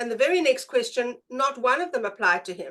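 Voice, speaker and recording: Her South African accent comes through as a woman speaks with lively intonation. She moves at a fairly quick pace. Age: 50s. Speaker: presenter, brain profiling practitioner. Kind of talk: presentation.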